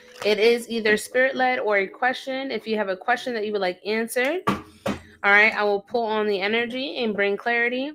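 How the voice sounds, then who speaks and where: A woman with a New York accent speaks at a fairly quick pace with hardly any pauses over noticeable background noise. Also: fairly high pitch for a woman, ordinary pitch variation. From upstate New York. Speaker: psychic tarot reader. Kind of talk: livestream chat. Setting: livestream. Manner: casual.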